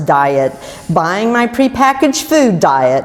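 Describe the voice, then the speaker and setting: Over noticeable background noise, a woman speaks very slowly, her pitch swinging very widely. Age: 60s. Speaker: keto success story speaker. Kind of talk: prepared personal testimony talk.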